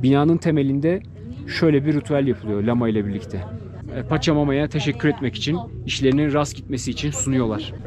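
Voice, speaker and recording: A man with a fairly high pitch talks at a fairly quick pace with ordinary pitch variation, the sound dry with no echo but noticeable background noise. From Turkey. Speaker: travel vlogger. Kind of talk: travel vlog narration. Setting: outdoors. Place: shop. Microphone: phone near.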